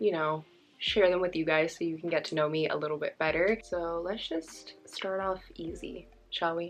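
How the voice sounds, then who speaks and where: With music playing in the background, a woman in an American accent speaks at a moderate pace. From California, Bay Area. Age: 20s. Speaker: beauty vlogger. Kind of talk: casual chat.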